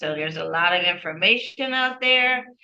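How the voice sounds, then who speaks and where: Here is a woman with a medium pitch. Noticeable background noise runs behind her. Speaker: presenter leading AI discussion series. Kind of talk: online group presentation and discussion. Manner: casual, conversational.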